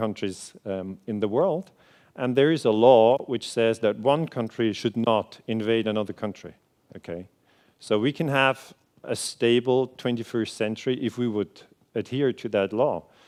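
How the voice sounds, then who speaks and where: A man with a Swiss German accent talks at a moderate pace in a medium pitch with ordinary pitch variation, against a quiet background. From Switzerland. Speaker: historian. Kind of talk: lecture. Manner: hesitant, many fillers.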